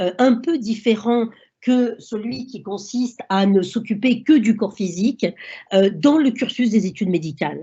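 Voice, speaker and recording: Somewhat breathy female speech, fairly high in pitch, with ordinary pitch movement. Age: 60s. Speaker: doctor. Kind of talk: lecture. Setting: online seminar. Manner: halting.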